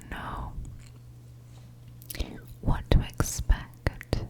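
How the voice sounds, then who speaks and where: Very slow whispering from a woman, with noticeable background noise. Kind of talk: ASMR coloring ramble. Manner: soft-spoken, whispered, slow.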